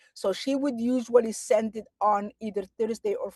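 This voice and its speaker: In a dry, close recording with no echo, a woman with a Somali accent speaks in a dark, mellow tone. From Somalia, small town. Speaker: novelist and advocate. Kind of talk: interview. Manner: halting.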